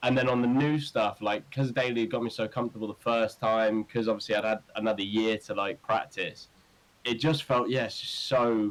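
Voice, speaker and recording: With an East Midlands accent, a man talks at a medium pitch and a moderate pace with fairly even intonation. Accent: English Midlands (Northamptonshire). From English Midlands, Northampton. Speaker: rock band singer. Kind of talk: podcast interview. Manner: casual, many fillers.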